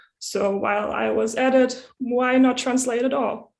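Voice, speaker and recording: Speaking with a German accent, a woman uses a fairly high pitch and monotone, flat intonation. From Germany. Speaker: community translator. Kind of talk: prepared talk.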